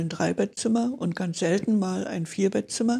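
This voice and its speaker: A woman speaks at a medium pitch with ordinary pitch variation, in a dark, mellow tone that is somewhat breathy. The recording is very clean with a silent background. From Berlin. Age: 80s+. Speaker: Benedictine nun. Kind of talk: interview, life story.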